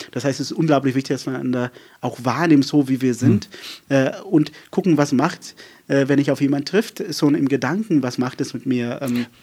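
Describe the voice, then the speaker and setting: The man's voice has a dark, mellow tone and a fairly high pitch. He keeps a moderate pace with ordinary pitch variation. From South Africa, rural Western Cape. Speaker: pastor. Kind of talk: casual interview chat. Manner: fluent and flowing; many filler hesitations.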